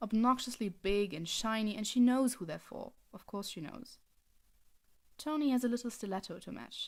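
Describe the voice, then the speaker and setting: A woman with a German accent talks at a moderate pace, her fairly high pitch showing ordinary variation. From Germany. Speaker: fanfiction writer reading own story. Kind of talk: reading aloud; casual chat.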